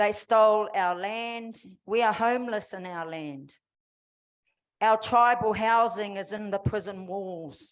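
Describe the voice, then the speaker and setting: With a New Zealand accent, a woman speaks at a fairly slow pace with a fairly high pitch, ordinary pitch variation and big swings in loudness against a quiet background. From New Zealand, Māori. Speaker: formerly incarcerated activist. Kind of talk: public speech.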